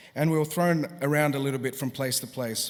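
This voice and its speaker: A man with an Australian accent speaks at a fairly quick pace. His pitch sits fairly high. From Australia, Sydney. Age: 40s. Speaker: musician. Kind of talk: graduation address.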